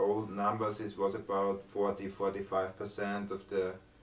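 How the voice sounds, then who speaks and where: A man's fairly low, monotone, flat voice at a moderate pace, with noticeable background noise. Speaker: video blogger. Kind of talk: casual chat.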